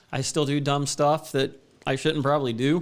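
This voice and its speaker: An unremarkable speaking voice from a man, medium in pitch, at a fairly quick pace. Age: 40s. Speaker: HVAC technician. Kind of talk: casual chat.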